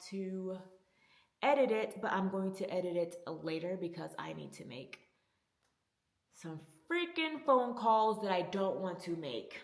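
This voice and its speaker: A woman talks in a medium-pitched voice, and audible room echo can be heard. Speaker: vlogger. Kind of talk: personal vlog.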